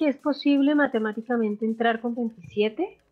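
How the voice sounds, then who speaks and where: Music in the background under a woman's high voice, fairly slow in pace, with ordinary pitch variation. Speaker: sports podcast host. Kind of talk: sports panel discussion.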